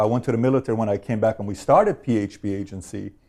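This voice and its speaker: The talking is very fast, in an American accent. The tone is dark and mellow. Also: man. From Iran, then Glendale, California from age 12. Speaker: insurance company founder, interviewer. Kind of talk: interview.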